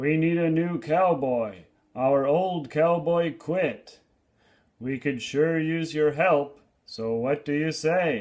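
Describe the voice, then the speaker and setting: Putting on a growling character voice, a man speaks very slowly at a fairly high pitch with ordinary pitch variation. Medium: read story. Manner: rough, blunt.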